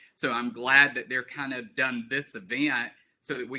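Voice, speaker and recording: A man speaks with a strong Southern US accent in a medium-pitched, bright, sharp tone. His delivery is monotone and flat at a moderate pace. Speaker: lawyer. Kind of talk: guest talk at online seminar.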